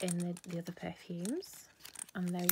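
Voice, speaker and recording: A woman's somewhat breathy voice over light background noise. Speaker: beauty product seller. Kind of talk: casual product review vlog. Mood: cheerful, chatty. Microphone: phone near.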